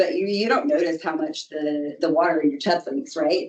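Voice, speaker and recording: A woman speaks fairly quickly at a medium pitch, her voice moving through very wide pitch swings. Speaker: flood control engineer. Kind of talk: presentation at public board meeting. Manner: fast.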